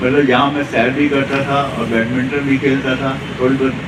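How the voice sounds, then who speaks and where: A man speaks at a moderate pace in a fairly high voice with flat, monotone intonation. The room echo is audible and background noise is noticeable. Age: 80s+. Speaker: yoga class participant. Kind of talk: testimony.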